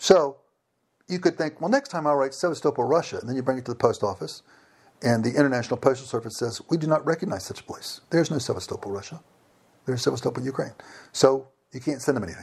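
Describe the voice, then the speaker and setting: Very fast and somewhat breathy, a man talks with an American accent in a medium pitch and ordinary pitch variation. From Virginia, US. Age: 50s. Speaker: engineer and former missionary. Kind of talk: interview. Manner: hesitant, with fillers and repetitions.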